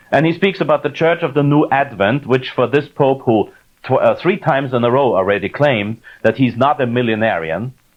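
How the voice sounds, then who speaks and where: Speaking at a fairly quick pace with very even loudness, a man with a German accent uses a medium pitch and lively intonation. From Austria. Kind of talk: lecture; Q&A answer. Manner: halting, many fillers.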